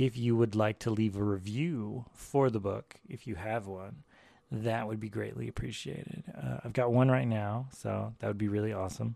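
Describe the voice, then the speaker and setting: At a moderate pace, a man speaks with a fairly low pitch and lively intonation. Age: 40s. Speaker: podcast host and artist. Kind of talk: casual monologue.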